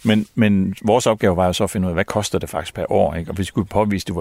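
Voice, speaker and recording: The speaker is a man talking at a very fast pace. His intonation stays fairly even. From Denmark, Samsø island. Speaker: director of energy academy, climate activist. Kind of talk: casual interview. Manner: halting, repeats words.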